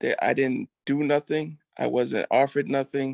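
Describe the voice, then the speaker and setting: In an American accent, a man with an ordinary speaking voice talks at a fairly slow pace and medium pitch, with ordinary pitch variation against a quiet background. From Massachusetts, Brockton. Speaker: former prisoner, restorative justice participant. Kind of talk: personal testimony.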